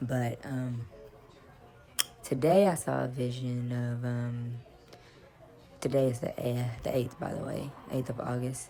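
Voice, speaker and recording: Very deep, low pitch from a woman, fairly slow and fairly even in intonation, with long, frequent pauses and music in the background. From United States. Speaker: psychic channeler. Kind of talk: vlog monologue. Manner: halting, many fillers and restarts.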